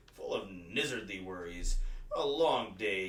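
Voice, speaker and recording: Putting on a character voice, a man with a fairly low pitch talks at a fairly slow pace with lively intonation and an audible echo. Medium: read story.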